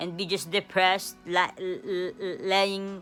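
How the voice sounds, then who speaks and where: Music can be heard in the background. Over it, a woman talks at a moderate pace. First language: not English. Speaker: vlogger. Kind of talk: casual vlog monologue. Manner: halting, many fillers and repetitions.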